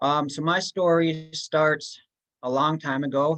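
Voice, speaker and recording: A man with a fairly high pitch and fairly even intonation has an ordinary speaking voice. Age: 20s. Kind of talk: personal testimony.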